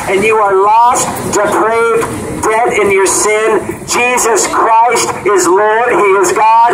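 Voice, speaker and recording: A man talks at a very slow pace with ordinary pitch variation. Noticeable background noise is present. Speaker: street preacher. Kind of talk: street preaching with a microphone and speaker. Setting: outdoors, amplified by speaker. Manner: loud, insistent, lecturing. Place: street.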